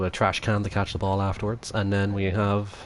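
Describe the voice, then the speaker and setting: Speaking with an Irish accent, a man uses a fairly low pitch and a fairly quick pace. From Ireland. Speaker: gaming live streamer. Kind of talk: live gameplay stream chat. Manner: casual, hesitant with fillers.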